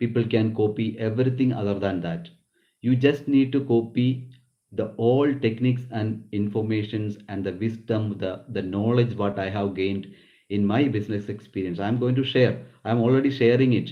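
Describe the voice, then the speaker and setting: Someone with a Keralan accent talks at a moderate pace with fairly even intonation, and audible room echo can be heard. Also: man, medium pitch for a man. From Kerala, South India. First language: Malayalam. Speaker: nurse and business founder. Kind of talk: business talk. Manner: halting.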